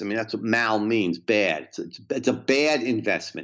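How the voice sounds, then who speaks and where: A man with vocal fry speaks in a New Jersey accent. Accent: New Jersey American. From US Northeast, New Jersey. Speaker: economics professor. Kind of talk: interview about economics. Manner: repetitive stammering.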